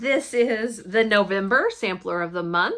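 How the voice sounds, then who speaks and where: Noticeable background noise runs beneath a woman who talks very slowly. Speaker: cross stitch video blogger. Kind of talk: casual haul chat. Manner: animated.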